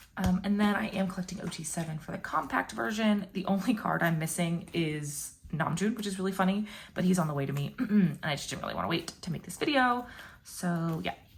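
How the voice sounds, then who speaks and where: Noticeable background noise sits under a woman talking at a fairly quick pace. Her pitch is medium, with ordinary variation. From Puerto Rican background. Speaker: YouTuber, K-pop fan. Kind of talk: casual vlog chat.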